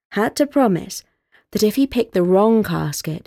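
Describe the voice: Over a quiet background, this is plain reading aloud with lively intonation.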